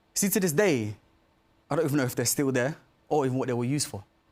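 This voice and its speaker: A man is speaking. His pace is fairly quick. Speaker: stage actor. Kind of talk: storytelling monologue. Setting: theatre stage.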